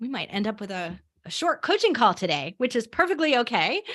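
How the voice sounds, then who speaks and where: A woman speaks at a very fast pace. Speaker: podcast coach. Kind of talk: coaching call. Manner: casual, with fillers.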